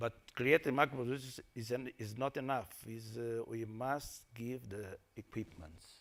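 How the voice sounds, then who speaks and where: A man's medium-pitched voice in a Portuguese accent, with fairly even intonation and a moderate pace. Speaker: salt industry panelist. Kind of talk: panel discussion. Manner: halting.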